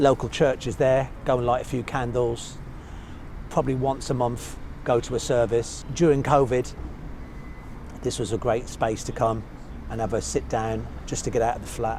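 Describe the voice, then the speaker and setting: A man talks at a medium pitch with a slight Birmingham accent. He leaves long, frequent pauses. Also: fairly even intonation, moderate pace. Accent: slight Birmingham twang. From English Midlands and north, Birmingham and Manchester. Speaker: hairstylist turned artist. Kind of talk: casual interview on a walk. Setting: outdoors on city streets.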